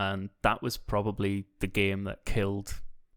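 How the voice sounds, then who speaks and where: In a monotone, flat intonation, a man speaks with a fairly low pitch. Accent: Northern Irish. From Northern Ireland. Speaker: podcast co-host or guest. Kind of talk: casual chat. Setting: call.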